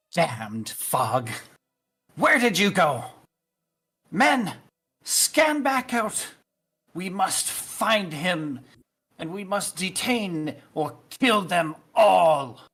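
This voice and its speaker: The speaker uses a put-on character voice at a middle pitch with very wide pitch swings. Delivery is very slow, with long, frequent pauses. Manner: angry, commanding.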